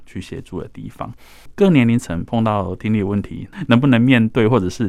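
In a very clean recording with a silent background, a man with a plain, everyday voice talks at a fairly low pitch with ordinary pitch variation. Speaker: foundation director. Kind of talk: radio interview.

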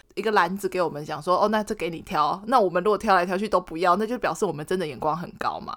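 A woman talks at a very fast pace, with hardly any pauses. Her pitch varies in an ordinary way. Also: medium pitch for a woman. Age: 30s. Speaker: podcast co-host. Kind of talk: casual chat.

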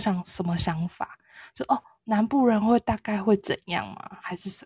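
A woman with a dark, mellow, somewhat breathy voice speaks at a moderate pace with ordinary pitch variation and big swings in loudness. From southern Taiwan. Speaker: podcast co-host. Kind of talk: casual chat.

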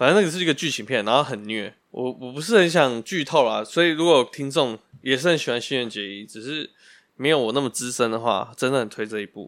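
In an ordinary speaking voice, a man of medium pitch moves at a fairly quick pace with lively intonation and big swings in loudness, captured on a very clean recording with a silent background. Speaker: podcast co-host. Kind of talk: casual chat.

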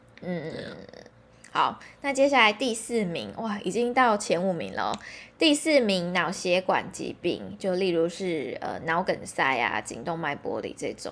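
A woman with vocal fry, a medium pitch, very wide pitch swings and a fairly slow pace. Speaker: podcast host. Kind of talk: casual chat.

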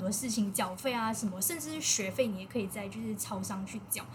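With a Malaysian accent, a woman speaks at a fairly quick pace and ordinary pitch variation, with audible room echo around her. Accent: Malaysian Mandarin. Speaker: overseas Chinese university student. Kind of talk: casual chat.

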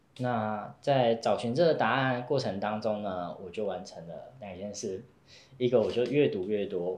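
Audible room echo surrounds a man speaking at a fairly slow pace. His pitch is medium, with ordinary variation. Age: young. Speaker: Taoist priest. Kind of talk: interview storytelling.

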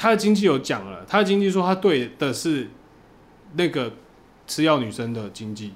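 Speaking with a Taiwanese accent, a man uses a fairly high voice with very wide pitch swings, big shifts in loudness, and long, frequent pauses. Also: moderate pace. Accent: Taiwanese Mandarin. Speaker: adult film director. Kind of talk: casual chat.

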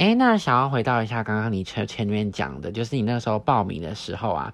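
A plain, everyday voice at a fairly quick pace, in a very clean recording with a silent background. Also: man. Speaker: podcast host, former exchange student. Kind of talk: casual interview chat.

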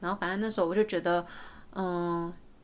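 A woman speaks on a very clean recording. The background is completely silent. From Taiwan. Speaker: podcast host. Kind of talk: casual chat. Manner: hesitant, many fillers.

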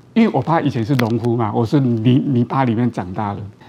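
Noticeable background noise accompanies talking at a moderate speed. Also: man. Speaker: orthopedic surgeon. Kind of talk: interview. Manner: halting, many fillers.

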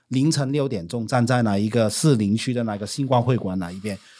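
The recording is very clean, with a silent background. A man with a dark, mellow tone talks fairly quickly at a medium pitch, with ordinary pitch variation. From Hong Kong. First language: Cantonese (speaking Chinese). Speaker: business owner and former social worker. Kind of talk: casual chat.

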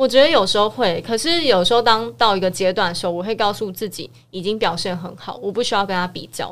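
Lively intonation at a very fast pace from a woman with medium pitch, very clean recording, silent background. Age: 30s. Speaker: podcast co-host. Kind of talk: casual chat.

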